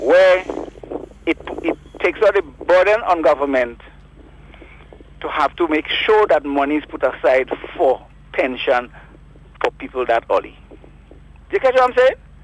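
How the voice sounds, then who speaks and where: Over noticeable background noise, a high-pitched man talks at a moderate pace with very wide pitch swings and long, frequent pauses, the sound dry and close with no echo. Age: 60s. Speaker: caller, construction worker. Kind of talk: call-in opinion.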